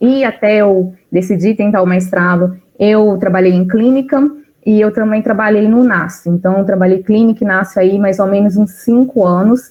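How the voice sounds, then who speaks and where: With a Minas Gerais accent, a woman talks at a medium pitch. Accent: mineiro Brazilian Portuguese. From Brazil, Minas Gerais. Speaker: nutritionist. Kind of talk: casual talk; lecture.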